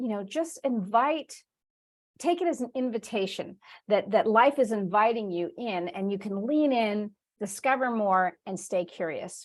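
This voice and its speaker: A woman talks in a normal speaking voice at a fairly slow pace. Her pitch is fairly high and her intonation lively. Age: 50s. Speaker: spiritual teacher. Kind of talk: online class. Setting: video call.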